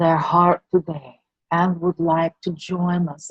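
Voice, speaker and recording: The woman's voice is fairly low-pitched, somewhat breathy and soothing in tone, captured with a dry, close sound and no echo. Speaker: channeler and meditation guide. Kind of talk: guided meditation. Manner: slow, soothing.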